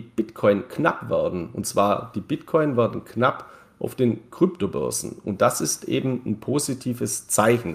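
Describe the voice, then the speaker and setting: This man has a medium pitch and lively intonation, with vocal fry. He speaks at a fairly slow pace. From Bavarian Swabia, Germany (Neu-Ulm). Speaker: crypto market commentator. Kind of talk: casual interview.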